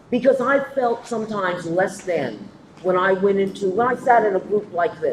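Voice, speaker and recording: A woman in an American accent at a fairly slow pace, lively in intonation, over noticeable background noise. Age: 60s. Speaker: panelist. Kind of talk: panel discussion.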